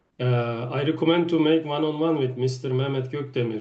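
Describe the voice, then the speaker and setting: In a Turkish accent, a man speaks at medium pitch with fairly even intonation, and room echo is audible. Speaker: networking event host. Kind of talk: hosting online meeting.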